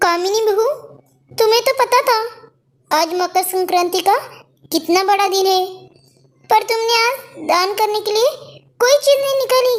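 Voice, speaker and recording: A woman performs a cartoonish character voice at an extremely high pitch, keeping a moderate pace and ordinary pitch variation, with long, frequent pauses. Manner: gentle, preachy.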